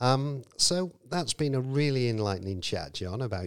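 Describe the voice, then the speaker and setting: In a very clean recording with a silent background, an ordinary speaking voice proceeds at a moderate pace. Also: man. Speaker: podcast host. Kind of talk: interview.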